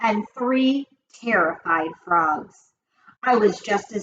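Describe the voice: Lively intonation in plain reading aloud, quiet background behind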